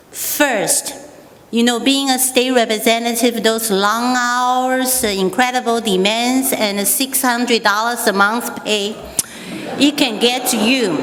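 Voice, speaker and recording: In a room with audible echo and noticeable background noise, a woman with a Taiwanese accent speaks at a high pitch, with fairly even intonation and a fairly slow pace. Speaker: state representative. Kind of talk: speech at a church anniversary. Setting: stage with audience.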